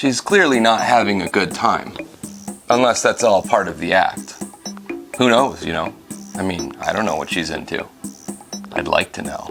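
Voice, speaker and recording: Over music in the background, the speaker uses a playful tone at a moderate pace. There are long, frequent pauses. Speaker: video reviewer. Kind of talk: movie recap and review narration. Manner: sarcastic, playful.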